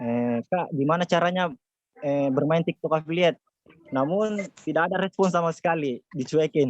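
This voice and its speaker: A man's fairly high voice at a moderate pace, with ordinary pitch variation and a dry, close sound free of echo. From South Sulawesi, Jeneponto. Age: 20s. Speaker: TikTok affiliate mentor. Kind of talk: webinar presentation. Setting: online webinar.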